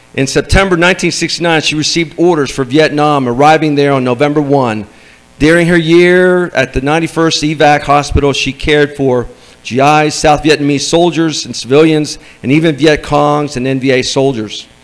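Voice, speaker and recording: A man with a normal speaking voice talks at a moderate pace. His pitch is fairly high and his intonation fairly even. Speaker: event host. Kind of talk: speaker introduction. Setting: stage with audience. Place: meeting room. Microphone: handheld.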